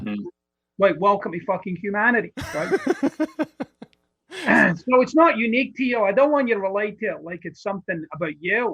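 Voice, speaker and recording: In a Scottish accent, a man speaks at a moderate pace with a high pitch and lively intonation. He leaves long, frequent pauses. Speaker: personal development author. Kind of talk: podcast interview answer. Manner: blunt, profane.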